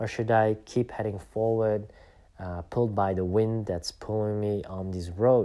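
In a Flemish accent, a man with a fairly low pitch and a dark, mellow tone speaks at a fairly slow pace with monotone, flat intonation, on a very clean recording with a silent background. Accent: Belgian (Flemish) English. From Belgium. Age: 30s. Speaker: podcast host. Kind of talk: personal reflective monologue. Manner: hesitant, many fillers.

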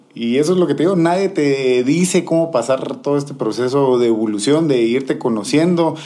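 Over noticeable background noise, a man with a fairly high voice talks at a fairly quick pace with hardly any pauses, ordinary pitch variation and very even loudness. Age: 30s. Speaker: DJ. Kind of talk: casual interview.

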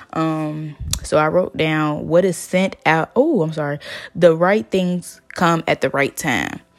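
A woman's very deep, low voice at a very slow pace, ordinary pitch variation, and noticeable background noise. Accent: American. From US South. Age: 20s. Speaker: podcast host, psychology student. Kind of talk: casual solo monologue. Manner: hesitant, many fillers.

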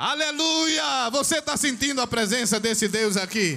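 Over noticeable background noise and audible room echo, a man projects a raised voice with lively intonation. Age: 60s. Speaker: pastor. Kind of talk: sermon. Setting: church.

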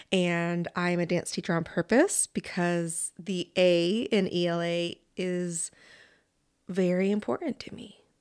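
A woman with an unremarkable speaking voice talks at a fairly slow pace in a fairly low pitch, her intonation fairly even, on a very clean recording with a silent background and a dry, close sound with no echo. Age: 30s. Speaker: podcast host and dance teacher. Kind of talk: podcast interview and reflection.

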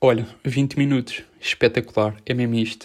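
Medium pitch from a man, on a very clean recording with a silent background. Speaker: podcaster. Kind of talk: casual monologue. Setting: home, in his bedroom.

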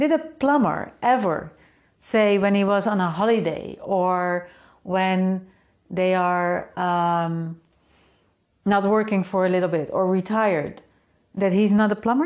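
Speaking at a fairly slow pace with a Dutch accent, the voice leaves long, frequent pauses and holds a very even loudness. The background is quiet. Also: woman, medium pitch for a woman, ordinary pitch variation. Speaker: podcast host and creativity coach. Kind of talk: solo podcast monologue. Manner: casual, upbeat.

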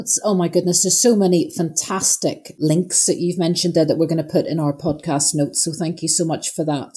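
A woman's somewhat breathy, fairly low voice with a dark, mellow tone and hardly any pauses. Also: ordinary pitch variation, fairly quick pace. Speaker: podcast host and doctor. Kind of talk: interview, warm conversation. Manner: enthusiastic, complimentary.

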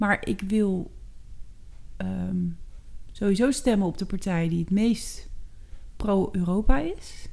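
Long, frequent pauses from a woman at a very slow pace. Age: 40s. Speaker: podcast co-host, working mother. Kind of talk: casual chat. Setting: at the kitchen table.

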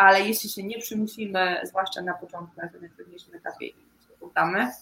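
A woman speaks at a fairly quick pace in a medium pitch. Her intonation stays fairly even. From central Poland, Łódź region village. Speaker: amputee support project coordinator. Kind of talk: interview. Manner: hesitant, with filler sounds.

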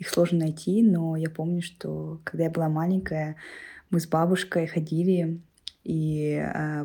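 Fairly low in pitch, a woman speaks at a fairly slow pace in a monotone with flat intonation. The recording is very clean, with a silent background. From Kalmykia, Russia. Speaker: listener sending voice message. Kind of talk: personal recollection.

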